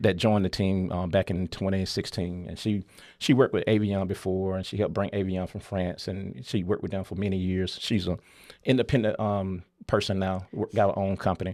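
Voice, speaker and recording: In a very clean recording with a silent background, a man with a very deep, low pitch speaks with a strong Southern US accent. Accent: deep Southern drawl. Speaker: company founder and CEO. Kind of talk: interview storytelling. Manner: animated.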